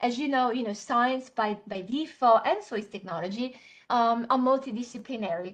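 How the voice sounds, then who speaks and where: With an Italian accent, a woman speaks at a moderate pace. Her pitch is fairly high, with ordinary variation. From Italy. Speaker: software trainer. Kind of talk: webinar tutorial. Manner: many fillers and hesitations.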